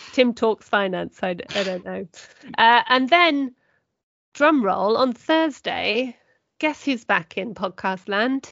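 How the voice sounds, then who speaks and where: A woman speaks with a fairly high pitch and lively intonation. Her pace is very slow. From southern England. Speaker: magazine editor. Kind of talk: casual chat.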